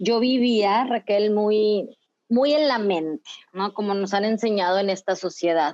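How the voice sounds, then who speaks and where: The speech comes at a fairly slow pace, with ordinary pitch variation and very even loudness. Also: woman, medium pitch for a woman. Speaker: psychologist and dance facilitator. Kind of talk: casual interview. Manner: halting with repetitions.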